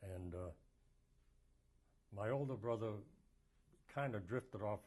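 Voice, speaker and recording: Speaking at a moderate pace with an American accent, a man has a fairly low pitch, ordinary pitch variation, a dark, mellow tone and a somewhat breathy quality. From Massachusetts, Lawrence. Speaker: war veteran. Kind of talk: oral history interview. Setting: filmed interview.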